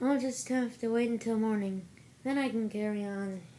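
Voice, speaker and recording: A put-on character voice, female-sounding and fairly high in pitch, with clear background noise. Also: moderate pace. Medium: read story. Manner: eager, earnest.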